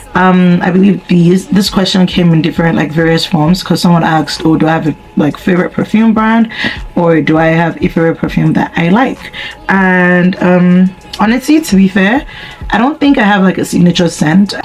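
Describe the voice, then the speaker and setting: A woman talks at a moderate pace with very even loudness and a medium pitch. Noticeable background noise sits behind her. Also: ordinary pitch variation. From Nigeria. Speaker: YouTuber. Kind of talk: casual chat.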